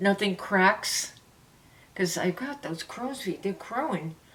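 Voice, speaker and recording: Speaking in a New York accent, a woman uses a medium pitch with ordinary pitch variation. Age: 70s. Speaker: beauty vlogger. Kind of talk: product review. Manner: animated.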